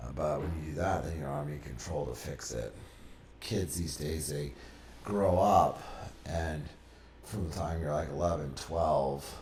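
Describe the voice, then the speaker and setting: A man with an American accent speaks at a moderate pace in a very deep, low pitch with ordinary pitch variation. There is audible room echo and noticeable background noise. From Texas, Austin. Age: 20s. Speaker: podcast guest, former religious community member. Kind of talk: interview. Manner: casual.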